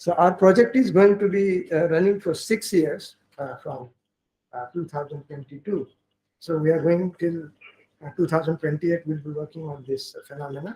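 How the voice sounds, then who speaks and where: With a Marathi accent, a man talks at a moderate pace in a dark, mellow tone, his pitch fairly high with ordinary variation. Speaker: linguistics professor. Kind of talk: workshop opening speech. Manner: halting.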